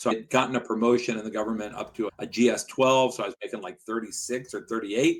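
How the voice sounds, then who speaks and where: A man with an American accent and an ordinary speaking voice, medium in pitch, with fairly even intonation. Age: 60s. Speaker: personal injury lawyer, law firm owner. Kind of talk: podcast interview.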